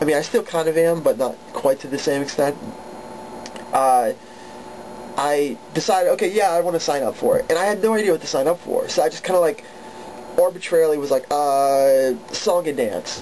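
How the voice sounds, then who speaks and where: A man's fairly high voice at a fairly quick pace, with long, frequent pauses and noticeable background noise. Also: ordinary pitch variation. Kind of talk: casual storytelling to camera.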